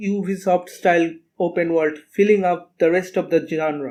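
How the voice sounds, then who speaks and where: A man with a non-native accent and a high pitch, a dark, mellow tone, a moderate pace, and fairly even intonation. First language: not English. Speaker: video game critic. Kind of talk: video essay narration.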